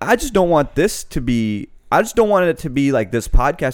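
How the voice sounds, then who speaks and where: Lively intonation at a fairly quick pace on a very clean recording with a silent background. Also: man. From US Mid-Atlantic, Annapolis, Maryland (moved from Pakistan at 6). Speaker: podcast co-host. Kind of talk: casual chat.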